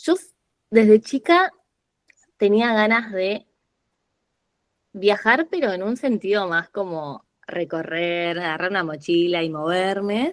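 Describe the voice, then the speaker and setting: In a Rioplatense accent, a woman speaks at a very slow pace with long, frequent pauses and a medium pitch. Her intonation is lively, and the sound is dry and close with no echo. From Argentina, Buenos Aires city. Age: 20s. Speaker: podcast guest, lawyer turned traveler. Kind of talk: casual interview conversation.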